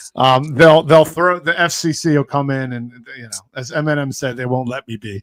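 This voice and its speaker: With an American accent, a man speaks at a fairly high pitch and moderate pace, with ordinary pitch variation and big swings in loudness, in a dry, close sound with no echo. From South Philadelphia. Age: 40s. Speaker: sports talk show host. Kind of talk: casual sports chat. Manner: halting, many repetitions.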